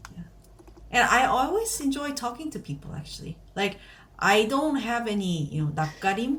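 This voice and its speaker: With a Korean accent and a fairly high pitch, a woman speaks in very wide pitch swings and big swings in loudness over noticeable background noise. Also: moderate pace. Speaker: podcast co-host. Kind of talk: casual chat.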